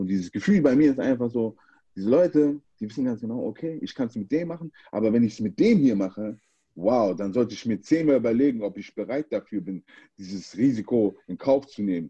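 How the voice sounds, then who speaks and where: A man's dark, mellow, medium-pitched voice at a fairly quick pace, with lively intonation and big swings in loudness against a quiet background. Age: 30s. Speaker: American football player and activist. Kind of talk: casual chat.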